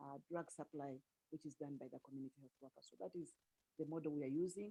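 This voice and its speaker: Very deep and low in pitch, a woman talks at a very fast pace with a dark, mellow tone in a dry, close sound with no echo. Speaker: health ministry official, doctor. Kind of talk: panel presentation. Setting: video call. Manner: soft-spoken. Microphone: too quiet.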